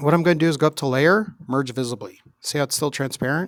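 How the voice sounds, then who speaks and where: A man's fairly high-pitched voice with ordinary pitch variation, dry and close with no echo. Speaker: teacher. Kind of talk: tutorial.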